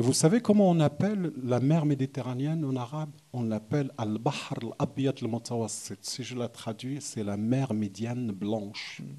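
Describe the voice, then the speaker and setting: Hardly pausing, a man speaks with a Moroccan accent. His pitch is medium, with ordinary variation. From southern Morocco, oasis region. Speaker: visual artist. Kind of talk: panel conversation. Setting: gallery event with audience. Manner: halting, many restarts.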